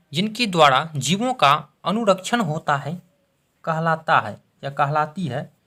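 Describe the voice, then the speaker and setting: A man talks with a bright, sharp tone. The recording itself is very clean, and the background is silent. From Bihar, India. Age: 20s. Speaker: teacher. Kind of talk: exam-prep lesson to camera.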